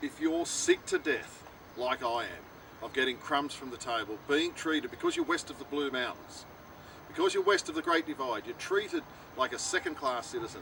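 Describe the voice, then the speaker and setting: A man with an Australian accent at a moderate pace, over noticeable background noise. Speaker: political candidate. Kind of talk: campaign speech to camera. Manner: impassioned.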